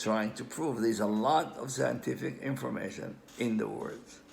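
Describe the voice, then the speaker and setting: Audible room echo surrounds a man speaking with an Israeli accent. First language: Hebrew. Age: old. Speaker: amateur language researcher. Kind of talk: lecture. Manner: halting.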